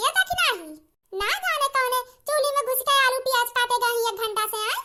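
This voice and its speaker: A woman performs a cartoonish character voice, squeaky and extremely high in pitch. Her pace is fairly quick. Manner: grumbling, scolding, wailing.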